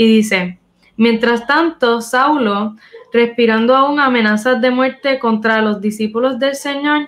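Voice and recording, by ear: At a fairly slow pace, a woman speaks in a fairly high voice with ordinary pitch variation.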